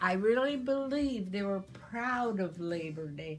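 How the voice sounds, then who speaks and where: Music plays in the background as a woman speaks. Her pace is very slow. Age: 80s+. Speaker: community elder sharing memories. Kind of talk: oral history interview.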